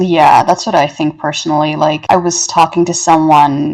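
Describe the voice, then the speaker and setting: A woman with a Canadian accent talks in fairly even intonation amid noticeable background noise. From Toronto, Canada. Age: 20s. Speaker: poet. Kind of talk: podcast interview answer.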